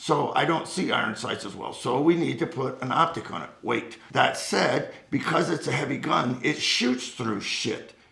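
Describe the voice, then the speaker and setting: With hardly any pauses, a man talks at a moderate pace in a fairly high pitch and an animated tone, amid noticeable background noise and audible room echo. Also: ordinary pitch variation. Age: 70s. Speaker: firearms instructor, Marine veteran. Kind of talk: casual chat.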